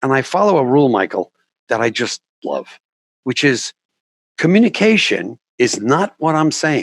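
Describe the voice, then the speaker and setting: This man has a fairly high pitch, very wide pitch swings and some vocal fry, speaking at a moderate pace with long, frequent pauses. The sound is dry and close, with no echo. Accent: New York. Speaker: documentary filmmaker and communication coach. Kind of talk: interview.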